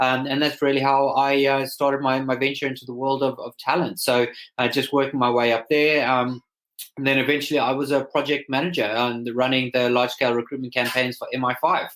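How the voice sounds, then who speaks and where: A man talks at a fairly quick pace with a Zimbabwean accent. His intonation stays monotone and flat. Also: medium pitch for a man. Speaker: startup founder. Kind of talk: interview.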